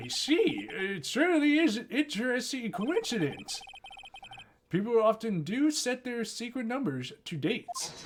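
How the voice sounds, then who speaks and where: In a put-on character voice, a man speaks at an extremely high pitch, with very wide pitch swings and big swings in loudness, at a moderate pace. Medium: game stream. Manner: deliberate, mild.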